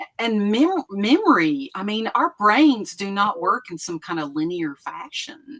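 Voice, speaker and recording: A woman with an Appalachian accent talks with hardly any pauses, in a fairly high pitch. Her pitch swings very widely and her loudness rises and falls sharply. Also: fairly slow pace, dry, close sound with no echo. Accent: Southern Appalachian US. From East Tennessee. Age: 60s. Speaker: retired professor and author. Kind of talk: casual interview chat.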